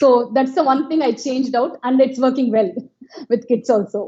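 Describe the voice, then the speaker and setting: Speaking in a Telugu accent at a moderate pace, a woman has a high pitch. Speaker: educational therapist. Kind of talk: interview.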